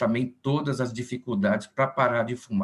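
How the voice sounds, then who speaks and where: This is an unremarkable speaking voice, moving at a fairly quick pace with lively intonation. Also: man. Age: 60s. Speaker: physician, meeting moderator. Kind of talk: formal introduction.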